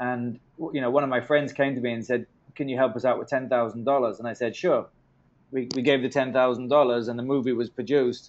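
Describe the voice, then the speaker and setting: Monotone, flat delivery from a man at medium pitch, fairly quick in pace, with a southern English accent. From England, London area. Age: 40s. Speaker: film producer, interviewer. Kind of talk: interview. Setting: phone call.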